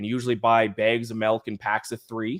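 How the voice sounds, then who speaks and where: A man in a strong Nova Scotian accent, on a very clean recording with a silent background. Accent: Nova Scotian accent, fairly strong. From Nova Scotia, Canada. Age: 20s. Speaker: sports podcast co-host. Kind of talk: casual chat.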